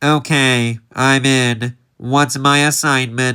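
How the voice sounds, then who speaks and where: Using a put-on character voice, a man holds a monotone, flat intonation at a medium pitch in a very clean recording with a silent background. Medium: audio drama. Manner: cocky, wisecracking.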